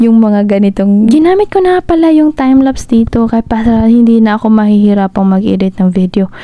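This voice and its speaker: Speaking at a fairly quick pace with hardly any pauses, a woman with a Visayan accent uses lively intonation and a dark, mellow tone, her pitch fairly high and her loudness very even. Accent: Visayan-tinged Tagalog. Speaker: motorcycle travel vlogger. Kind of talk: vlog voiceover narration. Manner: casual, chatty.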